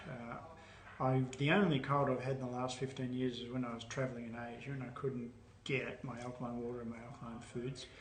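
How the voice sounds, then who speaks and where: A man's medium-pitched voice, with audible room echo and noticeable background noise. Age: 70s. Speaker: alkaline diet educator. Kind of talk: interview answers.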